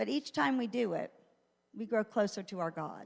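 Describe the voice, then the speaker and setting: A medium-pitched woman at a moderate pace, with lively intonation, on a very clean recording with a silent background. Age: 60s. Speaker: church teacher. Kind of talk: church teaching talk. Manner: conversational with fillers.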